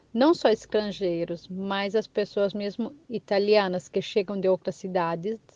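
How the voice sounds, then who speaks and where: A woman with a plain, everyday voice talks at a fairly slow pace and medium pitch. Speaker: immigrant. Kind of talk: testimony. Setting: recorded voice message.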